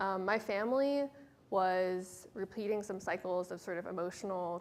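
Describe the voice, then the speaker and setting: A woman at medium pitch and a moderate pace. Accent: American. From San Francisco Bay Area, California. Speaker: author. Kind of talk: author talk. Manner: hesitant, frequent ums.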